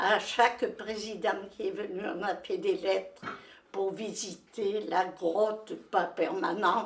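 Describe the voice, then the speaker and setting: The speaker uses lively intonation at a very slow pace. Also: woman. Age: 80s+. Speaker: widow of a discoverer of a famous cave. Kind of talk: interview answer. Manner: passionate, determined.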